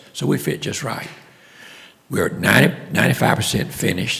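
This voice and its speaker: Against noticeable background noise, a man speaks with a Louisiana accent. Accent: Southern US (Louisiana). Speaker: local project leader giving update. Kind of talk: public meeting report. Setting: city commission meeting room.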